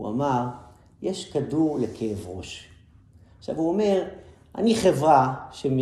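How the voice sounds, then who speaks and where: Amid audible room echo, a man talks at a moderate pace with lively intonation and a dark, mellow, somewhat breathy tone. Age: 40s. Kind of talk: lecture.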